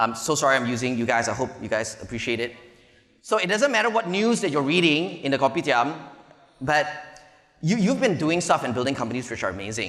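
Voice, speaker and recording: In a room with audible echo, a man with a Malaysian accent speaks in an animated tone with lively intonation. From Malaysia (Petaling Jaya area). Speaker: venture capital investor, conference speaker. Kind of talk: conference keynote talk. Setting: stage with audience.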